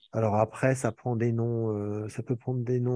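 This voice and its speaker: A man's dark, mellow voice at a fairly slow pace over a quiet background. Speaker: advocacy movement member. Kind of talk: casual chat. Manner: halting.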